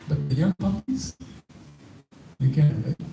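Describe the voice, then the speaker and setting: Moderate pace over noticeable background noise. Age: 70s. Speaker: spiritual teacher. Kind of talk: religious talk with audience questions.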